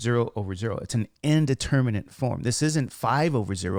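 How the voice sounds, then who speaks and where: A man speaks at a moderate pace in an unremarkable speaking voice, medium in pitch, with lively intonation. The recording is very clean, with a silent background. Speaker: math teacher. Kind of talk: tutorial. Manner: casual, with fillers.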